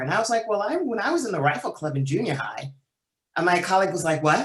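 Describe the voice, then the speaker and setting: Woman speaking, ordinary pitch variation. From US, child of Haitian immigrants. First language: French. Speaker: panelist. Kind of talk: panel discussion.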